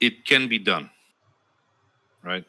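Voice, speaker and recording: In a non-native accent, a man speaks with a bright, sharp tone at a moderate pace on a very clean recording with a silent background. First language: not English. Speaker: streamer and podcast host. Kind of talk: casual chat. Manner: hesitant, many fillers.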